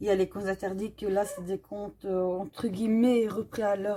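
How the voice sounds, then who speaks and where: A woman with a Belgian accent speaks at a moderate pace, her medium-pitched voice dark and mellow in tone. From Belgium. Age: 30s. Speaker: coloring YouTuber. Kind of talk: casual Q&A while coloring. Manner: hesitant, many fillers.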